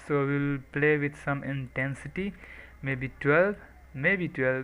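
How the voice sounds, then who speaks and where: Bright and sharp in tone, a man's fairly high voice moves at a very slow pace. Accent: non-native. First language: not English. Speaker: software tutorial maker. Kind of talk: tutorial. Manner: soft-spoken, not full volume.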